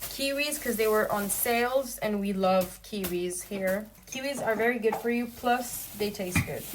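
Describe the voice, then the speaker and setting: Animated woman's voice, fairly high-pitched, at a moderate pace with hardly any pauses, plus audible room echo and noticeable background noise. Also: ordinary pitch variation. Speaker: vlogger. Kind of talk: casual vlog talk.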